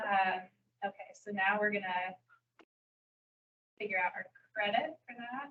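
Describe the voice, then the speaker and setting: A soft-spoken woman at a moderate pace, bright and sharp in tone, with ordinary pitch variation. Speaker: trainer. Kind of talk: training session. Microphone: too quiet for online listeners.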